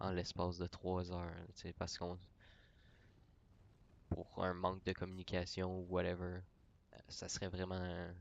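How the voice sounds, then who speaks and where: Speaking with a Quebec accent, a man talks at a fairly slow pace in a very deep, low pitch, his intonation monotone and flat, with long, frequent pauses. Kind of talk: casual talk about gaming channel. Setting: mic very close to mouth.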